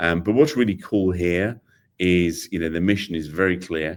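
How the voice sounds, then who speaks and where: The recording is very clean, with a silent background. A speaker with a British accent talks at a moderate pace with ordinary pitch variation. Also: man. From Britain. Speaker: AI technology executive. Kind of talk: interview. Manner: hesitant, many fillers.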